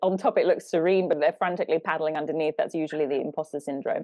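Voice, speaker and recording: A woman talks with a British accent. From Britain. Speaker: life coach, podcast co-host. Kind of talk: casual podcast conversation.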